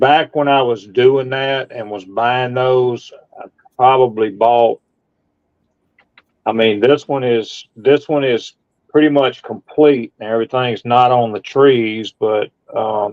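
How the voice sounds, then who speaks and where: A man delivers his words very slowly, with fairly even intonation. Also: medium pitch for a man. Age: 60s. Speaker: model car livestream host. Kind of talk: casual chat. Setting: livestream video call. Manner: casual, halting with repetitions.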